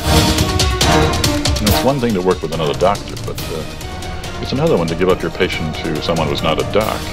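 Loud music plays behind a man talking. He keeps a moderate pace with hardly any pauses. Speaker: doctor. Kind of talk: educational film dialogue. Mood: weary, overwhelmed. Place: studio. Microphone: lapel.

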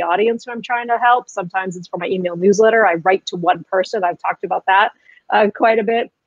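The sound is dry, with no echo, against a quiet background. A woman speaks with fairly even intonation. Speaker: interview guest. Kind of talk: interview answer. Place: home room. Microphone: webcam.

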